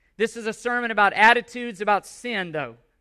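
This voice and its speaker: A man with a raised, projected voice talks at a fairly quick pace in an extremely high pitch, his tone bright and sharp and his intonation fairly even, in a very clean recording with a silent background. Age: 40s. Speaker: pastor. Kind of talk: sermon. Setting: church. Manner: loud; passionate.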